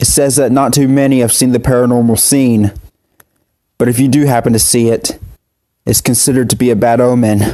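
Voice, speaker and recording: A man's put-on character voice, shaky, with medium pitch, fairly even intonation and a moderate pace. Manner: shaky, nervous.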